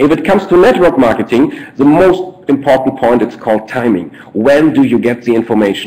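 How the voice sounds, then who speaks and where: With a German accent and lively intonation, a man speaks at a fairly quick pace and a medium pitch with hardly any pauses. Noticeable background noise runs behind him. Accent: German, non-native English. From Germany, Ruhr coal region. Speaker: network marketing presenter. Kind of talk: business presentation webinar. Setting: online webinar. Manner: halting, frequent fillers and repeats.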